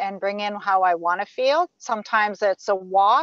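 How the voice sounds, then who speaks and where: A normal speaking voice from a woman, fairly high in pitch with ordinary variation, at a moderate pace, in a dry, close sound with no echo. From Saskatchewan, Canada. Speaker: spiritual teacher. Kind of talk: interview.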